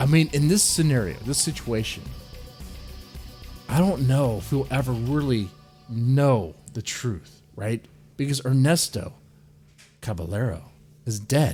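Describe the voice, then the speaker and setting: With music in the background, a medium-pitched man speaks at a fairly slow pace with lively intonation and long, frequent pauses. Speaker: radio-style true crime show host. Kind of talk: true crime podcast / radio show narration. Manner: conversational, speculative, rhetorical questions.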